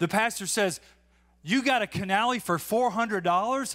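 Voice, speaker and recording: Bright, sharp tone, relaxed yet with lively intonation. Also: man. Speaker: congregation member giving a testimony; preacher. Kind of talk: testimony, casual storytelling; sermon storytelling. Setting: church. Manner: relaxed, humorous. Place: church. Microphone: handheld.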